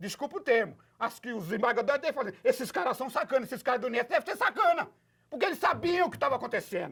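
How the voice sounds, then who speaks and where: Extremely high-pitched, this man rattles along at a very fast pace in an animated tone. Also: lively intonation. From Brazil, Osasco (São Paulo). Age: 70s. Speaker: retiree and activist. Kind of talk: interview.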